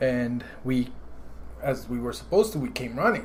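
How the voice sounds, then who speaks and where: There is audible room echo as a man with an American accent speaks at a moderate pace. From Guatemala, then Brooklyn and New Jersey. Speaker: entrepreneur. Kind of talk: podcast interview, life story. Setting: at home after dinner.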